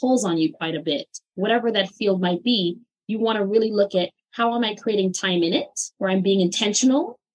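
A woman talks at a fairly quick pace with medium pitch, ordinary pitch variation and a plain, everyday voice. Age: 40s. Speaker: holistic healer and therapist. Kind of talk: interview.

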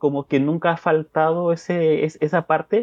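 Here is a man with a normal speaking voice. His pitch is fairly high and his intonation fairly even. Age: 30s. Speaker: podcast listener, father. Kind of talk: interview.

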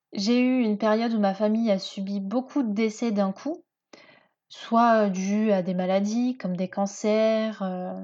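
Over a quiet background, a woman speaks very slowly in a dark, mellow tone. Her intonation stays fairly even. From France, Seine-et-Marne (Paris region). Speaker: podcast host. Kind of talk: personal monologue. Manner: hesitant, many fillers.

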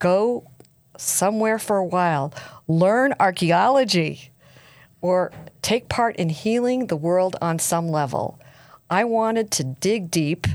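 A woman at a very slow pace with lively intonation and long, frequent pauses, on a very clean recording with a silent background. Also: medium pitch for a woman, very even loudness. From US East Coast. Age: 60s. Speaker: podcast host. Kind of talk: interview. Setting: studio.

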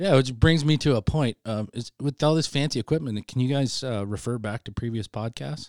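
In a normal speaking voice, a man talks at a medium pitch and a fairly quick pace with ordinary pitch variation and hardly any pauses. The recording is very clean with a silent background and a dry, close sound with no echo. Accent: American. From Idaho. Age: 40s. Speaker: retired military senior sergeant. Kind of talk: casual chat. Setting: studio.

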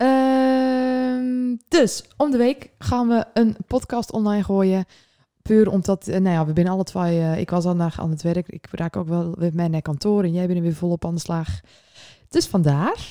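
A woman talks at a fairly slow pace in a dark, mellow tone at medium pitch. The recording is very clean, with a silent background. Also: lively intonation. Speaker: podcast co-host. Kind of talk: casual chat.

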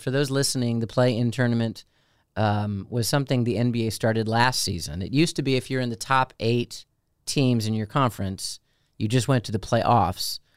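A man with a plain, everyday voice, medium pitch, ordinary pitch variation, an American accent and a fairly quick pace. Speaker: deacon, podcast co-host. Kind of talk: casual chat.

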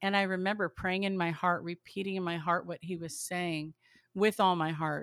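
A woman with a fairly low pitch speaks at a moderate pace with fairly even intonation, in a dry, close sound with no echo on a very clean recording with a silent background. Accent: American. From Southern California. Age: 50s. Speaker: podcaster and mother. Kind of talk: faith testimony interview.

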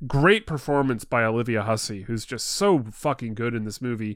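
In a normal speaking voice, a man talks at medium pitch and a moderate pace on a very clean recording with a silent background. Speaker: podcast host guest. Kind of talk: casual chat. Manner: jokey, laughs often.

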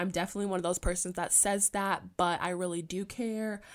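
A woman with a medium pitch speaks at a fairly quick pace and fairly even intonation. The recording is very clean and the background silent. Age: 20s. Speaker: podcast host and college student. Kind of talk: solo casual monologue.

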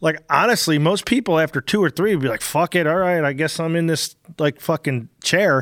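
In a very clean recording with a silent background and a dry, close sound with no echo, a man with an ordinary speaking voice talks at a fairly quick pace, his fairly high pitch varying in an ordinary way. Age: 50s. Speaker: podcast host and race car driver. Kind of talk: casual chat.

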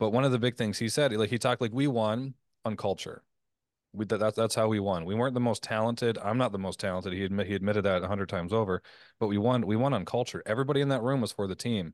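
A man talks very fast at a fairly low pitch with ordinary pitch variation. The sound is dry and close with no echo, over a quiet background. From Canada. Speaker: podcast host, former professional athlete. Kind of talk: interview conversation.

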